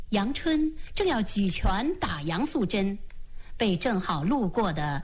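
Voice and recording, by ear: The words are read aloud in a natural voice.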